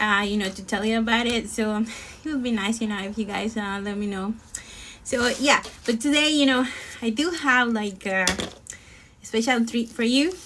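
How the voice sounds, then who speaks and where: Amid noticeable background noise, a woman with a Spanish accent speaks at a moderate pace and a fairly high pitch, with ordinary pitch variation and long, frequent pauses. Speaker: singer. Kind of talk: casual chat. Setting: live stream. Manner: halting.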